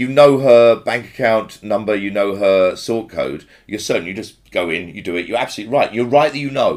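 In a normal speaking voice, a man of medium pitch keeps a fairly quick pace with hardly any pauses and ordinary pitch variation. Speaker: podcast host. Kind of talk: casual chat.

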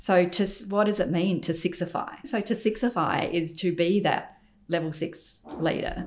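A woman with an Australian accent speaks at a moderate pace and a medium pitch. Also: ordinary pitch variation. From Australia, Adelaide. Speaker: architect and business founder. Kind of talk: interview.

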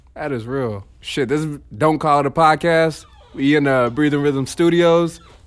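Noticeable background noise accompanies a man with a fairly high voice talking at a moderate pace. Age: 20s. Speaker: podcast host and comedian. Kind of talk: casual chat. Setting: studio.

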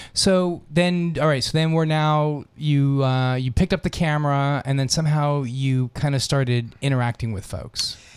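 Here a man has an unremarkable speaking voice, fairly high in pitch. He talks at a moderate pace with ordinary pitch variation. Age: 50s. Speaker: radio host and HIV doctor. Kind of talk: casual interview; station announcement.

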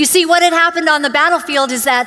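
A woman's raised, projected voice with ordinary pitch variation over noticeable background noise. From born in Uganda, grew up in Canada (Vancouver area). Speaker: guest preacher. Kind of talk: sermon. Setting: church.

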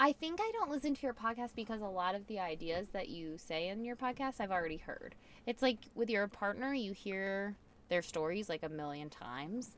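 Loud speech at a moderate pace with very wide pitch swings. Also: woman, medium pitch for a woman. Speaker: host's wife, guest. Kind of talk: casual chat. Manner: loud, spikes in volume.

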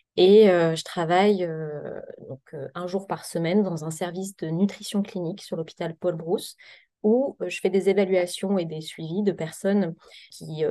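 A woman speaks at a moderate pace with fairly low pitch, a dark, mellow tone and fairly even intonation. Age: 30s. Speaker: psychiatrist. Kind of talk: podcast interview.

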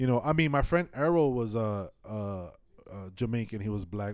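A man with an American accent and a medium pitch talks at a fairly quick pace with lively intonation. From New York City. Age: 40s. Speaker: filmmaker. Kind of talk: casual chat.

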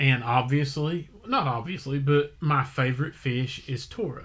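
An unremarkable speaking voice from a man, fairly high and fairly even, at a fairly slow pace. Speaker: podcast host. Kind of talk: casual chat.

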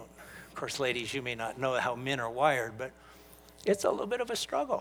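A man's medium-pitched voice at a fairly quick pace, with ordinary pitch variation and big swings in loudness. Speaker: pastor. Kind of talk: sermon, preacher in full flow, teaching from scripture to a congregation. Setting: church with congregation. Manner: emphatic, urgent, pulpit-style delivery with call-and-response; earnest, pastoral, with hesitant restarts.

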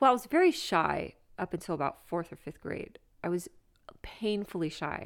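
The pace here is moderate. The recording features an ordinary speaking voice. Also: woman, medium pitch for a woman, lively intonation. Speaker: comedian. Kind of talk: casual chat.

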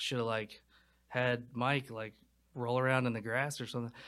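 In a North Carolina accent, a man with a bright, sharp tone speaks at a moderate pace on a very clean recording with a silent background. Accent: US Southern (North Carolina). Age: 20s. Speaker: film director and writer. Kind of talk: casual interview chat.

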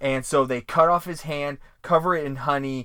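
A man's fairly high voice with ordinary pitch variation, a fairly slow pace, a bright, sharp tone, and a very clean recording over a silent background. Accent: New England. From Vermont. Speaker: podcast co-host. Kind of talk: casual podcast chat, episode recap.

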